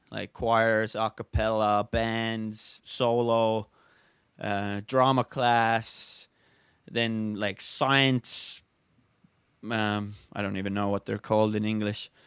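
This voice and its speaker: A man with an Estonian accent, medium pitch, monotone flat intonation and a very slow pace, on a very clean recording with a silent background and a dry, close sound with no echo. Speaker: speed flyer. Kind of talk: casual chat. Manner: halting.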